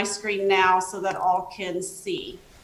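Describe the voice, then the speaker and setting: A woman's voice with audible room echo. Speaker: government outreach specialist. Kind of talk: presentation.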